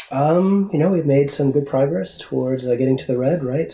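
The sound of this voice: A man speaks at a fairly quick pace with vocal fry, a dark, mellow tone and medium pitch, and audible room echo surrounds him.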